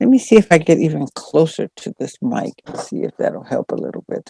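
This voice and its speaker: A soft-spoken woman talks at a moderate pace with very wide pitch swings. The sound is dry and close, with no echo. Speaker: meditation teacher. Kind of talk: dharma talk. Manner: volume varies soft and loud; hesitant, with fillers. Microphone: too quiet, hard to hear.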